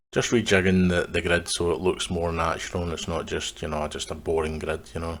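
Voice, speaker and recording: With a Scottish accent, a man speaks at a fairly quick pace in a very deep, low pitch and a monotone, flat intonation, on a very clean recording with a silent background. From west of Scotland. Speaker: gaming video creator. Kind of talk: gameplay commentary. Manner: casual, halting with fillers.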